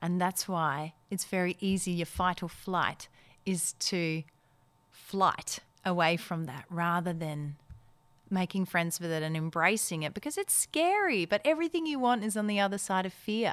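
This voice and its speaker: A woman with an Australian accent at a moderate pace, medium in pitch with ordinary pitch variation, on a very clean recording with a silent background. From Netherlands, moved to Perth, Australia at twelve. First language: Dutch. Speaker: actor, voiceover artist and MC. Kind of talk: interview.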